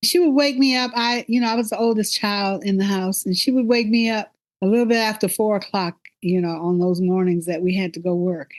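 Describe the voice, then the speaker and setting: A woman speaks fairly quickly with a Texas accent. The background is quiet. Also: medium pitch for a woman, ordinary pitch variation. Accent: US Southern (Texas). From northeast Texas. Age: 70s. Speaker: podcast host. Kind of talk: casual conversation with daughter.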